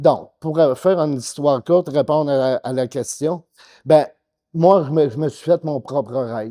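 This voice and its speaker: A man with a Quebec accent, a dark, mellow tone and ordinary pitch variation at a fairly slow pace, dry and close with no echo, against a quiet background. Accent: Québécois French. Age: 60s. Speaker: bodybuilder. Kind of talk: interview. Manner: hesitant, many fillers.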